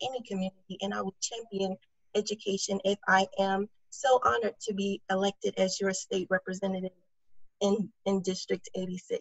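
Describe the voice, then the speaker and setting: A woman's voice at a medium pitch and a fairly quick pace. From DeKalb County, Georgia, US South. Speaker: political candidate, chemist. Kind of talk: candidate forum statement.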